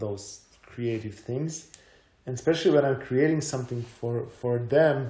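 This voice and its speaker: A dark, mellow, somewhat breathy tone with a Croatian accent and ordinary pitch variation. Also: man. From Croatia, Zagreb. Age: 30s. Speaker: mountain bike athlete and content creator. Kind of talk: casual chat.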